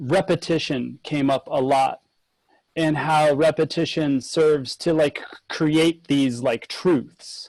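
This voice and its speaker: A normal speaking voice with fairly even intonation. The sound is dry and close with no echo, in a very clean recording over a silent background. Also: man. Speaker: sound designer. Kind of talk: panel discussion.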